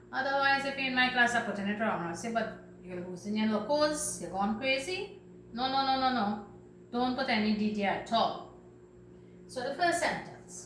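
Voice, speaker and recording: In a Trinidadian accent, a woman with a fairly high pitch speaks with lively intonation amid audible room echo and noticeable background noise. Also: moderate pace. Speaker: teacher. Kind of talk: lesson for children.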